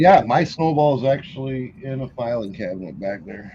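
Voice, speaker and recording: Somewhat breathy and dark, mellow in tone, a man speaks at a moderate pace and a medium pitch. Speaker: livestream host, reseller. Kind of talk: casual chat. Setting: livestream. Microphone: built-in camera microphone.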